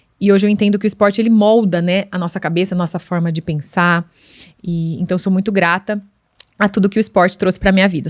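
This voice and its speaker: This woman's voice sits at a medium pitch. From Brazil, Limeira (São Paulo state). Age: 40s. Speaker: podcast host, digital influencer. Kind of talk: casual monologue podcast.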